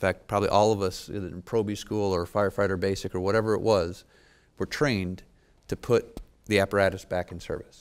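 An unremarkable speaking voice from a man, fairly low in pitch, fairly quick, with fairly even intonation. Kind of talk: interview answer. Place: meeting room. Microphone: lapel.

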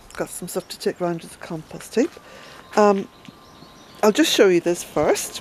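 Through noticeable background noise, a woman speaks with lively intonation in a dry sound with no echo. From Ireland. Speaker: smallholder vlogger. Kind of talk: casual walk-and-talk vlog. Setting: outdoors. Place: garden. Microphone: phone near.

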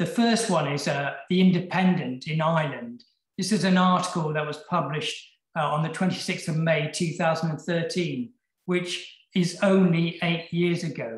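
In a British accent, a man with a high pitch and ordinary pitch variation speaks at a fairly slow pace, with audible room echo over a quiet background. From UK. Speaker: session chair and epilepsy researcher. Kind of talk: conference lecture and moderation. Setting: online video conference. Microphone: webcam.

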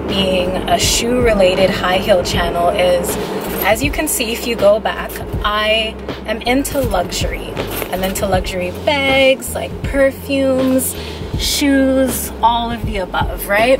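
Music plays in the background as a woman speaks. Her pace is very slow, with ordinary pitch variation. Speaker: vlogger. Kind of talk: casual vlog chat. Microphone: phone near.

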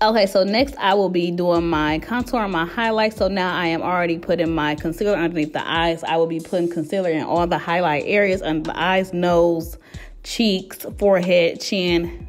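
An unremarkable speaking voice: a woman at a fairly low pitch, moderate pace and fairly even intonation, with hardly any pauses. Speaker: beauty vlogger. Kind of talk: makeup tutorial vlog chat. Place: home room. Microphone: phone near.

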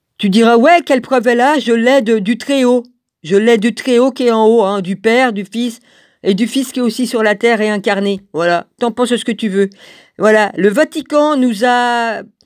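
On a very clean recording with a silent background, a woman talks at a moderate pace with a fairly high pitch and ordinary pitch variation. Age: 60s. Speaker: religious video blogger. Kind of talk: video monologue. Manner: halting.

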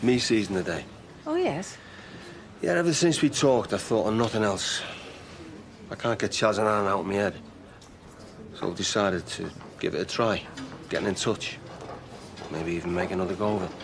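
A man speaks at a fairly low pitch with ordinary pitch variation over light background noise. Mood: hesitant, hopeful. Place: hall.

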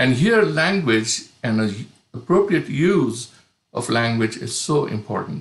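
A somewhat breathy man at a very slow pace, with very wide pitch swings and audible room echo. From India. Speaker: pastor, panelist. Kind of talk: prepared talk. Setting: online video conference. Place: home room. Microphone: video call.

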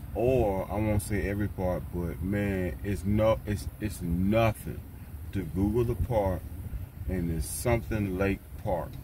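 At a fairly slow pace and with ordinary pitch variation, the voice has a dry sound with no echo over noticeable background noise. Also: man, very deep, low pitch for a man. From US South, Tennessee. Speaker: van dweller vlogger. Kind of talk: casual vlog monologue. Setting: outdoors, windy. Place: car. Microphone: phone near.

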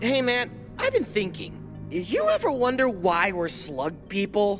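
A man talks at a fairly slow pace. Clear music plays in the background. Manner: whiny, defensive.

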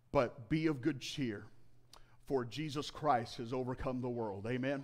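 This man speaks at a fairly slow pace and a medium pitch. His pitch varies in an ordinary way.

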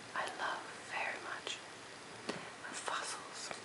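Someone whispers softly over loud background noise. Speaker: presenter. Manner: soft intimate ASMR whisper.

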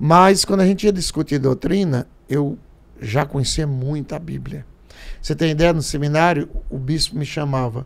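A man talks at a moderate pace with a fairly high pitch and ordinary pitch variation. His is an unremarkable speaking voice. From Paraíba, Brazilian Northeast. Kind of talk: casual chat. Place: studio. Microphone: studio mic.

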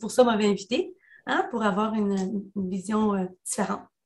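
A woman speaks in a fairly high pitch, somewhat breathy, with ordinary pitch variation. The background is quiet. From El Salvador. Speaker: union leader; panelist. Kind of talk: webinar talk. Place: home room. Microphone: video call.

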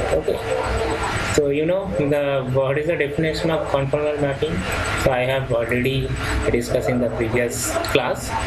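Through loud background noise, a man with an Indian accent speaks at a moderate pace. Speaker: professor. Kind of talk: lecture. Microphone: webcam.

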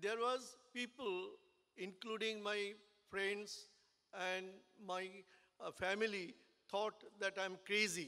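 A man uses a raised, projected voice with a high pitch and a bright, sharp tone over a quiet background. He speaks at a very slow pace with fairly even intonation and long, frequent pauses. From India. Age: 70s. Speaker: business owner and engineer. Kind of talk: speech at a business networking event. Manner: halting. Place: hall. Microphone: podium.

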